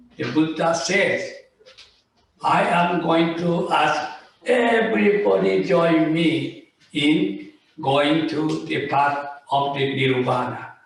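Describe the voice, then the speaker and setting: Lively intonation marks this man's fairly high-pitched voice, and his pace is very slow. Room echo is audible. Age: 80s+. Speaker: Buddhist minister. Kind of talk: sermon.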